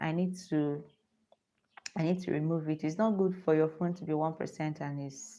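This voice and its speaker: A dark, mellow tone with a Nigerian accent. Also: woman. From Nigeria (Igbo). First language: Igbo. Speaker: lifestyle vlogger. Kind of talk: live stream chat. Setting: live stream on phone with ring light.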